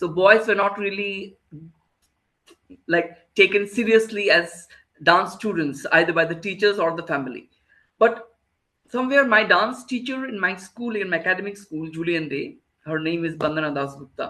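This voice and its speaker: A man with a Bengali accent uses a raised, projected voice in a high pitch with a bright, sharp tone. He moves at a moderate pace with ordinary pitch variation and long, frequent pauses. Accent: Bengali Indian English. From India, Kolkata. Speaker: choreographer. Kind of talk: interview. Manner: halting.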